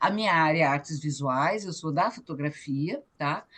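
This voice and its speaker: The woman's voice sits at a fairly low pitch. The background is quiet. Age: 60s. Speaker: photographer and cultural activist. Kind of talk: online meeting testimony. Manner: halting.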